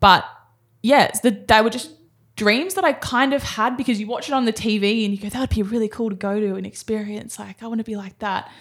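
A woman's fairly high voice with an Australian accent, at a fairly quick pace with ordinary pitch variation, in a very clean recording with a silent background. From Australia, Sydney (Cronulla). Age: 20s. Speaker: professional sprinter. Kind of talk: casual interview.

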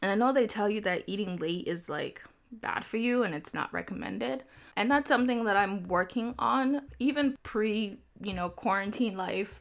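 A woman with a medium pitch speaks with lively intonation and vocal fry. The recording is very clean, with a silent background. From Nigeria. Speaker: podcast host. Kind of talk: casual solo podcast talk. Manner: laughs often.

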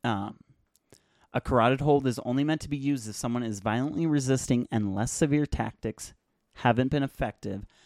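At medium pitch and a fairly quick pace, a man talks in a normal speaking voice with ordinary pitch variation. The recording is very clean with a silent background, and the sound is dry and close with no echo. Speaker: podcast host. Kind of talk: solo podcast commentary. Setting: small closet home studio. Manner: casual, many filler words. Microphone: new USB mic on boom arm, clearer than before.

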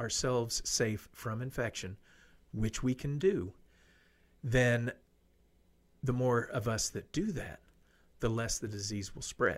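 A man with an American accent, medium pitch, ordinary pitch variation, a fairly slow pace and long, frequent pauses. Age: 50s. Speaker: radio host. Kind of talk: casual talk show monologue.

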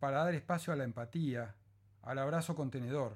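A man's fairly high voice, calm and gentle in tone, with lively intonation at a fairly slow pace. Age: 50s. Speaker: psychologist and podcaster. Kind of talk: reading aloud of a reflective essay; casual podcast intro. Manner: calm, gentle.

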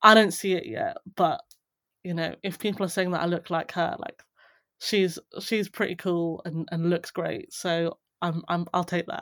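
A woman with a southern English accent speaks at a moderate pace in a fairly low pitch with fairly even intonation, the sound dry and close with no echo on a very clean recording with a silent background. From southern England, rural Buckinghamshire. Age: 30s. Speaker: venture capital investor. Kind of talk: casual chat.

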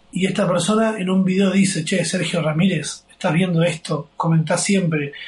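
The man's voice is high-pitched. He keeps a moderate pace and fairly even intonation. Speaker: podcast host. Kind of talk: casual chat. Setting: friend's kitchen abroad.

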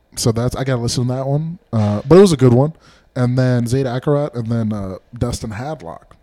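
A man's medium-pitched voice with a dark, mellow tone, big swings in loudness, and a fairly quick pace. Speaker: stand-up comedian, podcast co-host. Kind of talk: casual chat.

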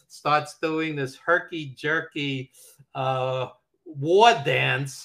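Speaking in a New York accent, a man has a bright, sharp tone. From Brooklyn, New York. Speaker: wrestling documentary producer and editor. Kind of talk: casual interview chat, storytelling.

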